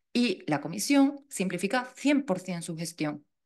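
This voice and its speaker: A woman speaks with a Seville accent. Her intonation is lively. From Andalusia, Seville. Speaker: funding expert speaker. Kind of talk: lecture; Q&A answer. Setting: talk with live audience and online viewers. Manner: informal, self-correcting.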